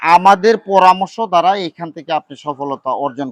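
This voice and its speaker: A man with a high pitch and lively intonation is heard in a dry, close sound with no echo. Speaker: poultry farm owner and YouTube farm channel host. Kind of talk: on-location farm interview and advice. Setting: outdoors at a poultry farm.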